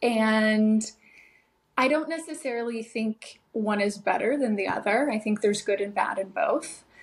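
Somewhat breathy, fairly high-pitched speech from a woman. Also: ordinary pitch variation, moderate pace. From Nashville, Tennessee, then San Fernando Valley, LA. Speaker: model and artist. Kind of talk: casual interview chat.

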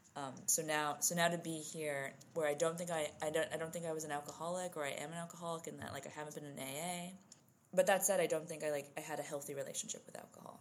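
A woman with a New Jersey accent talks at a very fast pace in a very deep, low voice, her loudness swinging widely while her intonation stays flat and monotone. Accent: New Jersey American. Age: 20s. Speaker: writer. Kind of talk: casual interview.

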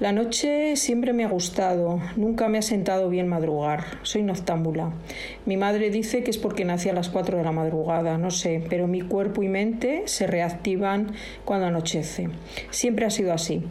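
This woman speaks at a moderate pace with very even loudness. There is noticeable background noise and audible room echo. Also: medium pitch for a woman, ordinary pitch variation. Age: old. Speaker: host's mother, guest contributor. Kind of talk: recorded voice message, monologue.

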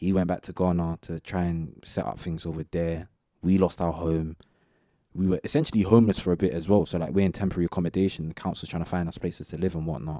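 Very deep and low with a dark, mellow tone, a man's voice moves at a very fast pace with fairly even intonation, captured dry and close with no echo in a very clean recording with a silent background. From west London (Southall). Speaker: university student. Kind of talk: casual interview chat.

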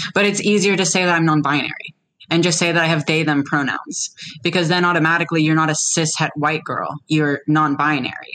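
A normal speaking voice from a woman, fairly low, at a fairly quick pace, with fairly even intonation and very even loudness. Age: 20s. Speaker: detransitioned woman sharing her experience. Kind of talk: casual interview conversation.

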